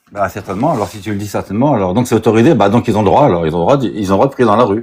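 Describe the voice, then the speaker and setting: A man with a fairly low pitch and ordinary pitch variation talks very fast. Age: 60s. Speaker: caller. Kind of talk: heated debate. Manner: halting.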